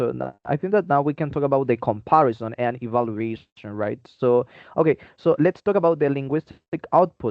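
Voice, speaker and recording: A man with a Spanish accent, medium pitch, ordinary pitch variation and a moderate pace. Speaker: podcast co-host, English teaching student. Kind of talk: friendly scripted debate.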